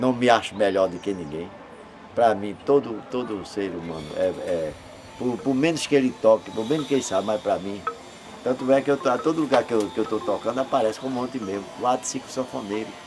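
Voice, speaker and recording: A man speaks at a fairly quick pace with medium pitch and lively intonation. Noticeable background noise runs behind him. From Pernambuco, Brazil (Zona da Mata, Escada). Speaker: accordion player, musician. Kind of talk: interview, life story. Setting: at his home. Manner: halting, repeats words.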